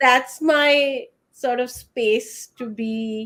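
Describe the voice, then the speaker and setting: Speaking at a very slow pace with an Indian accent, a woman uses a high voice with ordinary pitch variation. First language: Hindi. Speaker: writer. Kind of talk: panel discussion.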